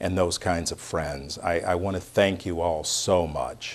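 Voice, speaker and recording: A man with an American accent and a very deep, low pitch, at a fairly slow pace over a quiet background. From United States. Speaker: speaker at a community reception. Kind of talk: speech.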